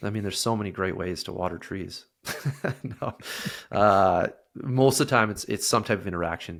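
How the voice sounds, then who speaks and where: A man's fairly low voice with a slight Canadian accent and ordinary pitch variation, at a moderate pace with long, frequent pauses, on a very clean recording with a silent background. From Canada. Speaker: sales software representative. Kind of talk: casual interview.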